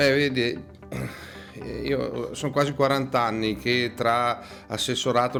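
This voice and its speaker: The man's pitch is medium and his pace fairly slow. Noticeable background noise runs behind him. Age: 60s. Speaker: political candidate. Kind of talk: campaign interview. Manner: hesitant, with frequent fillers.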